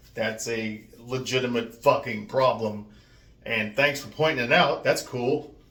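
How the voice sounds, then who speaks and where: Mumbling at a fairly slow pace, a man with an American accent keeps a fairly even intonation amid audible room echo. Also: medium pitch for a man, big swings in loudness. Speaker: vlogger. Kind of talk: casual vlog rant. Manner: mumbling, runs words together; deliberately slowed.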